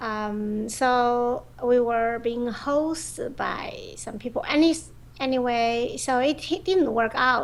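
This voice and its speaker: A woman's high-pitched voice with a Chinese accent. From China. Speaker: professional go player and teacher. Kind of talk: interview. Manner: halting, many fillers.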